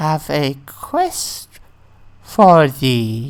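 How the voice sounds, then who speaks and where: Someone uses a put-on character voice and speaks at a very slow pace. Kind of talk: archaic. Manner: eerie, beckoning.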